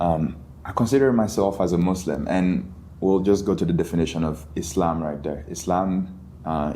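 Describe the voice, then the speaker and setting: Audible room echo around a man's very deep, low voice, dark and mellow in tone, with ordinary pitch variation. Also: moderate pace. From Mali, West Africa. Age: 20s. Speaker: college student. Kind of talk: podcast interview.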